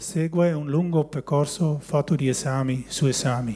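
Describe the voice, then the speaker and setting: Fairly high in pitch, a man with a Dutch accent speaks in a dark, mellow tone. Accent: Dutch accent in Italian. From Netherlands, West Friesland. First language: Dutch (speaking Italian). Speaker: churchgoer giving testimony. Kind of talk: testimony, reading a prepared text. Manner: halting.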